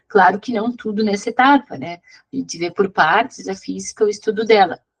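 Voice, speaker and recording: Vocal fry marks this woman's medium-pitched voice as she talks at a fairly quick pace with ordinary pitch variation, in a dry, close sound with no echo. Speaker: physics teacher. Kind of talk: online class lecture. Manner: fast.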